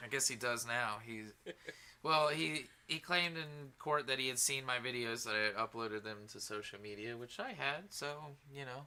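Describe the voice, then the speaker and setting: At a moderate pace, a man with a medium-pitched, bright, sharp voice speaks with ordinary pitch variation. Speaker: podcast co-host. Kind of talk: casual chat. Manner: halting, stuttering.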